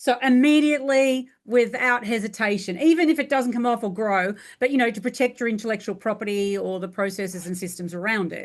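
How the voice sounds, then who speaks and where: A woman speaks at a fairly quick pace with hardly any pauses, her fairly high voice showing ordinary pitch variation. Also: quiet background. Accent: Australian. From rural Australia. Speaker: franchising business coach. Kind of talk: interview.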